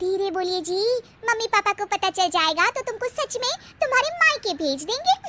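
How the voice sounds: In a cartoonish character voice, a woman speaks at a moderate pace with an extremely high pitch.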